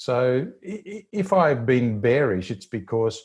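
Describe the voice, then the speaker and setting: In an Australian accent, a man talks in a somewhat breathy voice on a very clean recording with a silent background. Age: 60s. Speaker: financial newsletter editor. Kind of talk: interview. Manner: halting, many repetitions and fillers.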